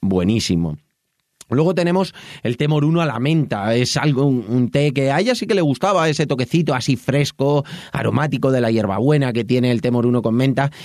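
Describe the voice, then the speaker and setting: A man speaks in an unremarkable speaking voice at medium pitch, with lively intonation and very even loudness. His pace is fairly quick. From Madrid, Spain. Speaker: podcast host and tea shop owner. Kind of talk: casual personal monologue. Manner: warm, conversational.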